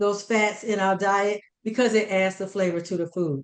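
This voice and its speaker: A woman at medium pitch and a moderate pace talks in an ordinary speaking voice. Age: 60s. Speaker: chef and dietitian giving a cooking demo. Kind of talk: cooking demonstration. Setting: conference demo, on camera.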